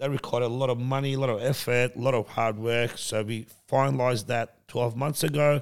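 Speaking with an Australian accent, a man talks at a fairly quick pace, his medium-pitched voice fairly even in intonation, on a very clean recording with a silent background. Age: 40s. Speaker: entrepreneur. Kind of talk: casual chat.

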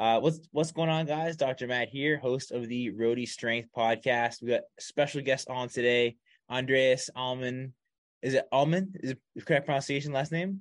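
Against a quiet background, a man with a plain, everyday voice talks at a medium pitch and moderate pace with ordinary pitch variation. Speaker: podcast host. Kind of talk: casual interview chat. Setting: video call. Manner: casual, friendly.

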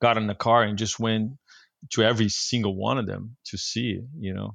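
A man with a Portuguese accent talks at a medium pitch with fairly even intonation. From Brazil, Rio de Janeiro. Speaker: surfboard shaper. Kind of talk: casual interview. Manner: hesitant, with many fillers.

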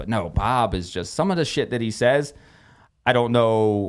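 Speaking in a Philadelphia accent, a man keeps a moderate pace and medium pitch with ordinary pitch variation, recorded very cleanly against a silent background. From US, South Philadelphia. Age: 40s. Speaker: boxing matchmaker and event coordinator. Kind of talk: casual chat. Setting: studio.

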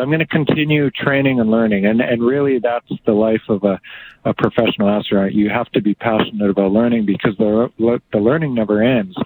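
A man with a Canadian accent and an unremarkable speaking voice talks at a fairly quick pace and medium pitch, his loudness very even. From central Alberta, Canada (farm near Two Hills). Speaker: astronaut. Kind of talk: interview.

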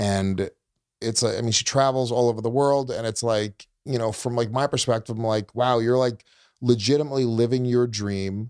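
Recorded very cleanly against a silent background, a man with an ordinary speaking voice talks at a moderate pace and a medium pitch. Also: fairly even intonation. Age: 40s. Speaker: comedian. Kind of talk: casual chat.

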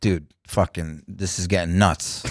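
A man speaks with a New York accent at a very deep, low pitch. The recording is very clean, with a silent background and a dry, close sound with no echo. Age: 40s. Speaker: comedian. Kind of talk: casual chat.

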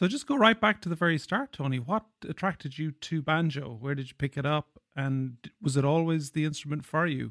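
A man's fairly high voice with an Irish accent, fairly quick and with ordinary pitch variation, in a dry, close sound with no echo. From Ireland. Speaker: podcast host and banjo player. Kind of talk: interview.

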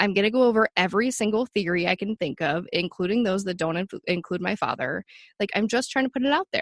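With a plain, everyday voice at medium pitch, a woman talks at a fairly quick pace with lively intonation and hardly any pauses, recorded dry and close with no echo against a quiet background. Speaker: advocate for missing sister. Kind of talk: casual interview.

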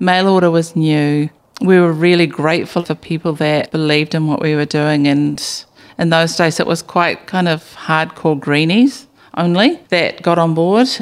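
A woman with a New Zealand accent speaks at a moderate pace, her pitch varying in an ordinary way. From New Zealand, Bay of Plenty. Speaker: business founder. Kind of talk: interview.

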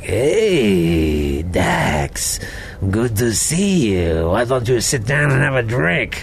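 Doing a put-on character voice at medium pitch, a man speaks very slowly with very even loudness while clear background noise runs behind him. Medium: actual play. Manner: smooth, wheedling, falsely friendly.

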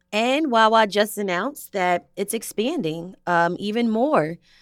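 Speaking at a moderate pace in an ordinary speaking voice, a woman uses lively intonation on a very clean recording with a silent background. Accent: American. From Philadelphia suburbs. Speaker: podcast host. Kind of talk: casual chat.

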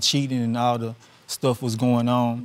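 A man with a Louisiana accent, medium pitch and moderate pace. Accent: Louisiana Southern US. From Louisiana, US South. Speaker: husband in divorce case. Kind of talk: courtroom testimony.

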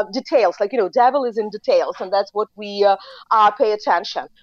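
A woman speaks with a Ukrainian accent. Her pace is fairly quick. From Ukraine. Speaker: foreign policy expert. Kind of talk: interview. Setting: remote call.

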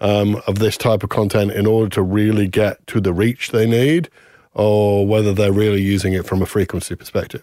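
The speaker has a normal speaking voice and a moderate pace. The recording is very clean, with a silent background. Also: man. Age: 50s. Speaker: marketing consultant, former brand marketer. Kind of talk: casual chat.

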